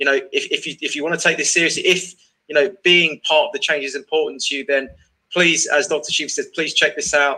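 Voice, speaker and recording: Talking at a fairly quick pace, a man has a British accent. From England. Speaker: online show host. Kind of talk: casual interview chat. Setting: video call.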